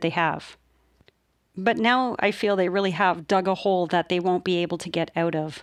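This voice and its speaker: A woman with a Canadian accent and a plain, everyday voice speaks at a medium pitch and a fairly quick pace on a very clean recording with a silent background. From Canada. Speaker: police whistleblower podcaster. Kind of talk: unscripted podcast monologue.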